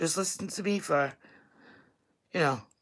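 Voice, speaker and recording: Speaking at a moderate pace, a woman with a strong New York accent uses ordinary pitch variation. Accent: thick Staten Island New York. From New York, Staten Island. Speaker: vlogger. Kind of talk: casual livestream chat.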